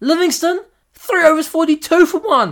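Heard in a very clean recording with a silent background, a man with a New Zealand accent speaks at a moderate pace. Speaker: podcast host and amateur cricketer. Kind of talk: casual solo sports commentary. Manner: casual, hesitant with many fillers.

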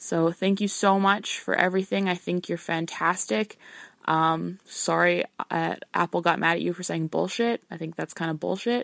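Speaking with a Canadian accent, the voice moves at a moderate pace. The sound is dry and close, with no echo. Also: woman. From Alberta, Canada. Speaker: listener, bride-to-be. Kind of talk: voicemail question. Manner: hesitant, many fillers.

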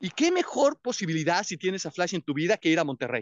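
Here a man talks in an animated tone. His pitch swings very widely. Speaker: motivational speaker. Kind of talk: motivational talk. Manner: loud.

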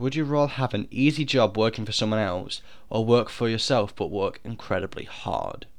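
The man's pitch is medium and varies in an ordinary way. He moves along at a moderate pace. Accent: British. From Britain. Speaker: podcast host. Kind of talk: casual monologue.

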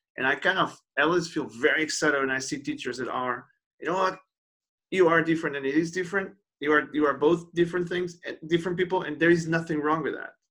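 The speaker talks at a very fast pace with a bright, sharp tone and a Portuguese accent. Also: man, high pitch for a man, fairly even intonation. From Portugal. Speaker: podcast host. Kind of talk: casual interview. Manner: halting, repeats words.

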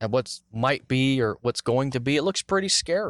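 In a quiet background with a dry, close sound and no echo, a man speaks at a moderate pace in a normal speaking voice with ordinary pitch variation. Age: 20s. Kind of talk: casual devotional monologue.

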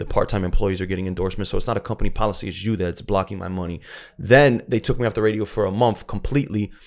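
On a very clean recording with a silent background, a man talks at a very fast pace with fairly even intonation. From South Florida (Broward). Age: 30s. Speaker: DJ and radio personality. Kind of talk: casual chat.

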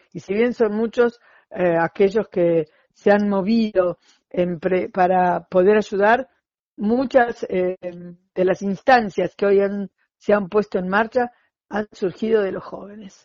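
The speaker is a woman with an Argentine accent. Her intonation is fairly even and her pace very slow. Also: medium pitch for a woman. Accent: Rioplatense Argentine Spanish. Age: 60s. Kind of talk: interview. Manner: halting, many fillers.

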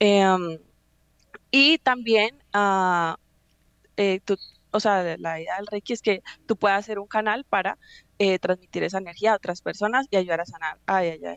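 A woman at medium pitch speaks at a fairly slow pace with ordinary pitch variation. Her long, frequent pauses come through in a dry, close sound with no echo. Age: 20s. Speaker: reiki practitioner. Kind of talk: interview. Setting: studio.

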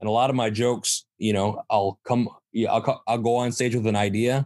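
In a Michigan accent, a man talks at a moderate pace with monotone, flat intonation, the sound dry and close with no echo over a quiet background. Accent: Midwestern US (Michigan). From Michigan, Saginaw. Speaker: stand-up comedian and show producer. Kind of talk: casual interview chat.

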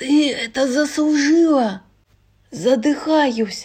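Putting on a character voice, a woman pitches her speech high. Her delivery is very slow.

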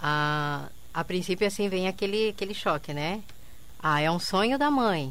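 The speaker has a plain, everyday voice with lively intonation. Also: woman. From southern Brazil, interior of Paraná (Quedas do Iguaçu). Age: 50s. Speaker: entrepreneur, bar owner. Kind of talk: radio interview. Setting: radio studio.

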